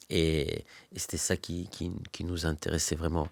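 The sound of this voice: A low-pitched male voice in a very clean recording with a silent background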